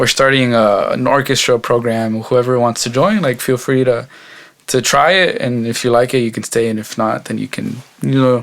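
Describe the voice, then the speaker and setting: A man with a Texan accent, medium pitch, relaxed tone, fairly even intonation and a moderate pace. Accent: Texan American English. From Texas, Mexican American family. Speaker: mariachi violinist and singer. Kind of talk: casual interview. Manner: many fillers, relaxed.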